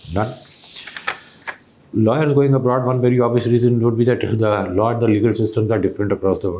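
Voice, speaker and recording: Very fast pace broken by long, frequent pauses, fairly even intonation, over noticeable background noise. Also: man, medium pitch for a man. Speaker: mock interview panelist, civil servant. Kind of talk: mock job interview feedback. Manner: formal.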